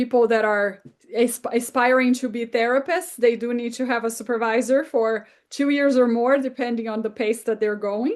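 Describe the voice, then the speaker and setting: In a Brazilian Portuguese accent, a woman speaks at a fairly high pitch with fairly even intonation. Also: quiet background. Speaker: therapist and author. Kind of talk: interview.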